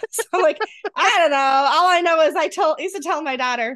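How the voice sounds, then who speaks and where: This is a woman's voice. She has a Rochester accent. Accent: Rochester accent, broad A. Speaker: podcast co-host. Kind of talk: casual chat.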